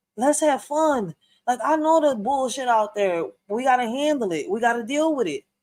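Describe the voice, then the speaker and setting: A woman's high-pitched, animated voice with lively intonation at a moderate pace. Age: 30s. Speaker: podcast host. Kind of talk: casual chat.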